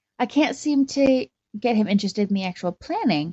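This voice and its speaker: A woman with a Canadian accent talks at a fairly quick pace. Her somewhat breathy voice moves in very wide pitch swings. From Canada, Calgary. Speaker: caller, bride-to-be. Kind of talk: voicemail message. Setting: phone voicemail.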